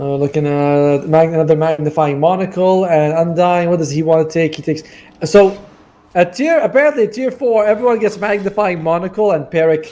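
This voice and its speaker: Speaking at a fairly quick pace with a non-native accent, a man with a high pitch and a dark, mellow tone shows ordinary pitch variation. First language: not English. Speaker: esports caster. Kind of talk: live commentary. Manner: casual, chatty with asides.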